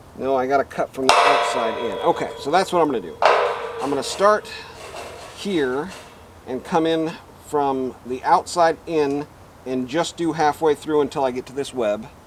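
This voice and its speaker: Noticeable background noise sits behind a man with a fairly high pitch who talks at a moderate pace, with ordinary pitch variation and long, frequent pauses. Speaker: DIY metalworking video host. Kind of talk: tutorial. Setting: outdoors. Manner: loud.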